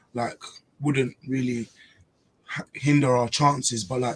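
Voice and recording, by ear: A man speaks at medium pitch in a slightly mellow tone with a slightly husky edge. His pace is moderate and his intonation fairly even.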